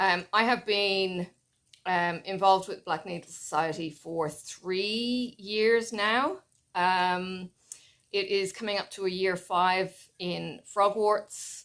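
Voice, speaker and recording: A woman talks at a very slow pace in a medium pitch. Her intonation is fairly even. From Ireland. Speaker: flosstube crafter (cross-stitch YouTuber). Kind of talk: casual vlog chat.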